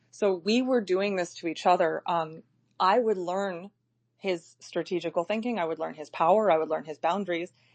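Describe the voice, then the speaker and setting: Fairly low in pitch, a woman speaks in an unremarkable speaking voice. Her pace is moderate and her pitch variation is ordinary. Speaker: live audio chat host. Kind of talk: casual chat.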